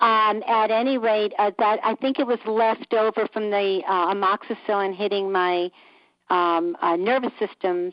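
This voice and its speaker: This woman talks at a moderate pace with a medium pitch and fairly even intonation. Her loudness stays very even throughout. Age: 60s. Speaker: caller. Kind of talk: casual chat. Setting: phone call. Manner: halting.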